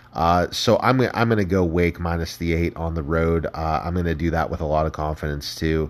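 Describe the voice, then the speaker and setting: A moderately paced male voice, very deep and low, with an American accent. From Ohio. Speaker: sports betting podcast host. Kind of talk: casual solo sports commentary. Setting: solo podcast recording.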